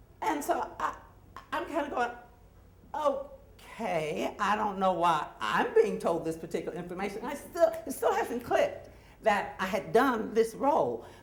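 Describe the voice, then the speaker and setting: Against noticeable background noise, a woman speaks at a fairly slow pace and fairly high pitch with very wide pitch swings. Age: 60s. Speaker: actor and storyteller. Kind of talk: live storytelling. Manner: casual, halting with fillers.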